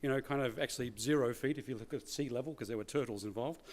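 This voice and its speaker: Male speech in an Australian accent, with ordinary rise and fall in pitch. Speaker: keynote speaker, former corporate executive. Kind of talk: conference keynote talk. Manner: conversational, many filler words.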